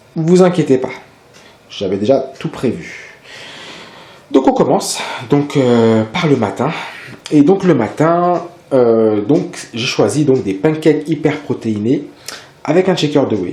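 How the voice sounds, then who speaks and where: Amid noticeable background noise, a man with a fairly high pitch and lively intonation speaks at a very slow pace, pausing long and often. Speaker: fitness vlogger. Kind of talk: casual tutorial vlog. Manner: hesitant, many fillers.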